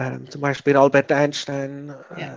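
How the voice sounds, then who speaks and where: A man talks with a fairly high pitch. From Switzerland. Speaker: parent of a gifted child. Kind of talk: interview. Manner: halting, many fillers.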